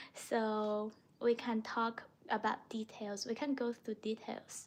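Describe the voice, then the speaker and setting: A woman's high voice with a Chinese accent, at a very slow pace. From China. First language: Mandarin Chinese. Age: 20s. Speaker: language teacher livestreamer. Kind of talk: casual livestream chat.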